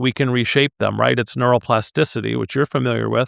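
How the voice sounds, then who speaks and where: A man's normal speaking voice with ordinary pitch variation. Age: 60s. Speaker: leadership consultant and executive coach. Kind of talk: podcast interview.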